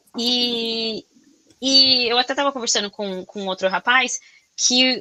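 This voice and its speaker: A woman with a Brazilian accent talks in a high voice with a bright, sharp tone and ordinary pitch variation. The sound is dry and close, with no echo. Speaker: podcast host. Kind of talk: casual interview chat. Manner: loud; animated, expressive.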